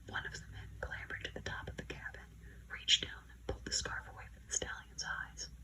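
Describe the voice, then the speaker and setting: A woman whispers, soft-spoken. Noticeable background noise runs underneath. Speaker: ASMR creator. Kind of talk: audiobook narration, whispered bedtime story. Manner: whispered, soft-spoken.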